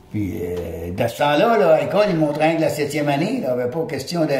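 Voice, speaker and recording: Against noticeable background noise and audible room echo, a man speaks at a fairly quick pace. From Quebec, Beauce region (Saint-Martin). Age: 80s+. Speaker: retired lumberjack and craftsman. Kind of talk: casual interview chat. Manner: halting, repeats words.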